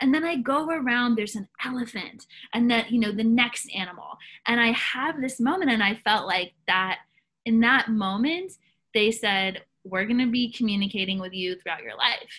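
A woman talks with an American accent. Her voice is fairly high, with a bright, sharp tone. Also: moderate pace. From US South. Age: young. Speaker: soul coach. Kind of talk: interview.

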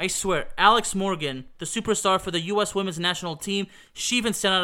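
A man's bright, sharp voice at a fairly quick pace with ordinary pitch variation. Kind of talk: retrospective soccer commentary, play-by-play style recap of a World Cup match. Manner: animated, excitable, building hype with rapid goal-by-goal scoreline calls.

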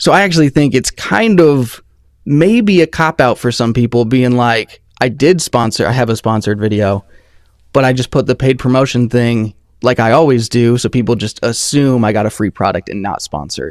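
This man has an unremarkable speaking voice, medium in pitch with ordinary pitch variation, and he talks at a fairly quick pace. The recording is very clean with a silent background and a dry, close sound with no echo. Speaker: audio reviewer, YouTuber. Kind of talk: casual chat. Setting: live stream. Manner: casual, laid-back.

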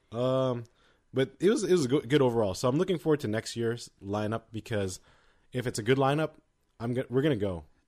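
A man's medium-pitched voice has lively intonation on a very clean recording with a silent background. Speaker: K-pop podcast co-host. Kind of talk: casual chat. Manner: fast.

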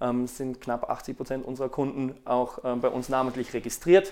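Speaking in an ordinary speaking voice, a man keeps a medium pitch, fairly even intonation and a moderate pace. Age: 30s. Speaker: fashion retailer. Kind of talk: interview. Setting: recorded on location at an agency.

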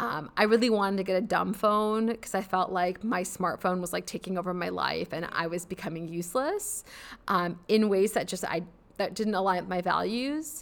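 In a very clean recording with a silent background, a woman with a Midwestern American accent talks at a moderate pace and medium pitch with ordinary pitch variation. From US Midwest (suburban Chicago). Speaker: psychology professor. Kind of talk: interview conversation.

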